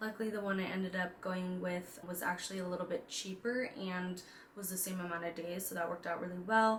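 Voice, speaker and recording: A woman's medium-pitched voice at a fairly quick pace, in a monotone, flat intonation, with audible room echo and noticeable background noise. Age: 20s. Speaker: personal finance and lifestyle vlogger. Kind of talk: casual vlog talk. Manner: casual with fillers.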